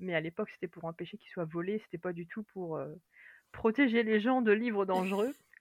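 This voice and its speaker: A fairly quick pace with big swings in loudness and ordinary pitch variation, in a dry, close sound with no echo. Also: woman, medium pitch for a woman. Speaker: librarian and fantasy author. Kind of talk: casual interview chat.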